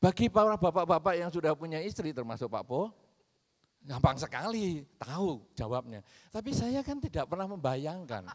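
A man's fairly high voice with very wide pitch swings and an animated tone, at a moderate pace against a quiet background. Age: 50s. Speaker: Buddhist monk; speaker. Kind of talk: Dhamma talk. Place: stage. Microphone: handheld.

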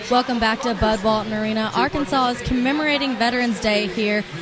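Speaking at a fairly quick pace, a woman comes through with a dry, echo-free sound and noticeable background noise. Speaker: sideline reporter. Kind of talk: sports sideline report. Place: stadium. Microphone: handheld.

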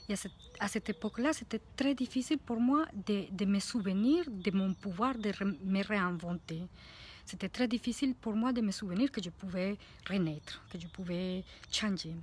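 A woman with a Spanish accent talks at a fairly slow pace, her voice somewhat breathy. The sound is dry, with no echo. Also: medium pitch for a woman, ordinary pitch variation. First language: Spanish (speaking French). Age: 40s. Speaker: life coach; coach. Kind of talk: vlog monologue. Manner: halting. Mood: warm, reflective. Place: garden. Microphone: phone near.

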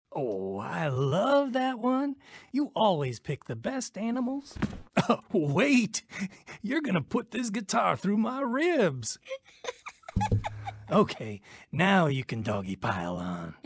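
A man uses a put-on character voice pitched high, speaking at a fairly slow pace with long, frequent pauses. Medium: audio drama. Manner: warm, gentle.

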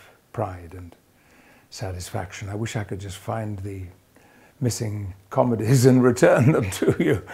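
A man's fairly low, dark, mellow, somewhat breathy voice at a moderate pace, with ordinary pitch variation and big swings in loudness. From Yorkshire, England. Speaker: actor. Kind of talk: interview answer. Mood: warm, proud, smiling. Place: hall. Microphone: lapel.

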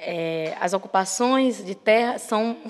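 Very slowly, a woman talks in a fairly high voice. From Brazil, Maranhão. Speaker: activist; speaker. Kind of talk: lecture. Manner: halting. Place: hall. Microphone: podium.

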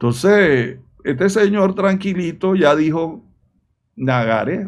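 A man talks at a fairly slow pace with very wide pitch swings. The background is quiet. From Panama. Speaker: political commentator. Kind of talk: video commentary. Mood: indignant, critical.

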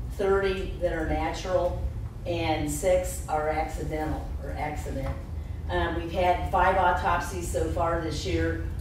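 A man talks at a fairly slow pace. Light background noise and audible room echo are present. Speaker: county coroner giving report. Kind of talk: public meeting report. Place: meeting room.

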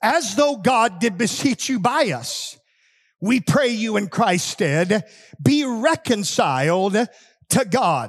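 A man shouting in an American accent at a high pitch and a very slow pace, with very wide pitch swings and a quiet background. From United States. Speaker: pastor. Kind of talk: fiery patriotic holiday sermon with call-and-response. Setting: church. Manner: impassioned, rising exhortation punctuated by 'amen' asides; call-and-response, urging shouts from congregation. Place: church. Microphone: headset.

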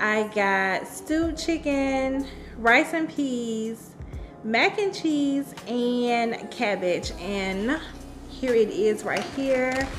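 A woman speaks at a very slow pace and a high pitch while clear music plays in the background. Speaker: food vlogger. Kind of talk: casual vlog chat. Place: kitchen. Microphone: studio mic.

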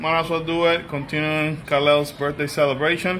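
Light background noise is present. Over it, a man speaks at a moderate pace. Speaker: family vlogger. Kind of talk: casual vlog chat. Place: street. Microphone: phone near.

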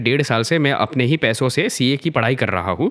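A man with a normal speaking voice talks at a moderate pace and medium pitch. His pitch varies in an ordinary way, and the recording is very clean with a silent background. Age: 20s. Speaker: viewer posing a question. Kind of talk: reading a question aloud.

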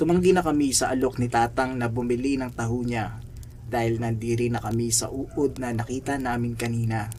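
The speaker is a man with a medium-pitched voice. His intonation stays fairly even. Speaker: horror story narrator. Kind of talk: ghost story telling, hushed spooky narration. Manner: slow, suspenseful, ominous; dramatic, building tension.

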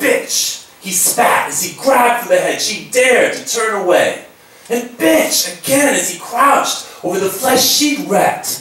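A man's extremely high voice carries audible room echo and light background noise. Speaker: slam poet. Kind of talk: live poetry performance. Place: hall.

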